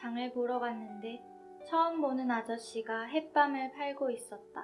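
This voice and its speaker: Music plays in the background as a woman speaks at a very slow pace. Her pitch is high, with ordinary variation. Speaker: author reading own book. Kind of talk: literary essay reading.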